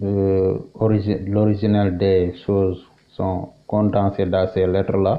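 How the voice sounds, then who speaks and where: With a Senegalese accent, a man of fairly low pitch speaks at a very slow pace in a monotone, flat intonation and very even loudness. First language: Wolof (speaking French). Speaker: Islamic religious teacher. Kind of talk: religious teaching. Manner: halting, many hesitations.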